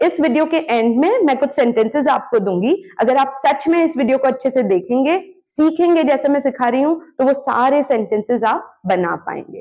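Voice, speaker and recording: A high-pitched woman with lively intonation, very even loudness and hardly any pauses. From India, Arunachal Pradesh. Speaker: English teacher. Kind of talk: tutorial.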